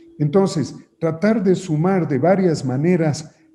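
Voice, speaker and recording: A man with a high pitch speaks at a very slow pace, his tone dark and mellow and his pitch variation ordinary. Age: 70s. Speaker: politician. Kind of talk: interview. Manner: hesitant, with filler sounds and repeated words.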